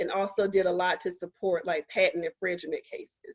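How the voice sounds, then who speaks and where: A woman with an American accent talks at a medium pitch and a fairly quick pace. She has an unremarkable speaking voice. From Eastern North Carolina, Goldsboro. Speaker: scientist and STEM policy advisor giving a seminar. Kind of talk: seminar talk. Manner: frequent fillers (um, uh).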